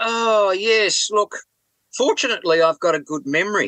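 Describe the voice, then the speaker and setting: A man with an Australian accent projects a raised voice, bright and sharp in tone, with lively intonation at a moderate pace in a dry, close sound with no echo. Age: 70s. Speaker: rock drummer and author. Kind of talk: interview. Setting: remote call from a boat.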